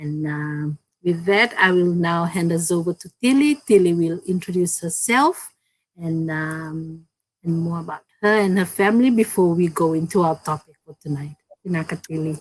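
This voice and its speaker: In a Fijian accent, a woman speaks at a fairly low pitch. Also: ordinary pitch variation, moderate pace. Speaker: digital business owner, co-host. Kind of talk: live-stream business chat. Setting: online live stream.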